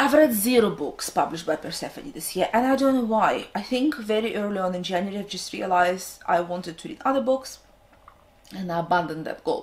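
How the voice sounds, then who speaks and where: A woman with a Russian accent speaks with lively intonation. Her loudness swings widely. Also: medium pitch for a woman, fairly quick pace. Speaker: book vlogger. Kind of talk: casual vlog talk to camera, unscripted.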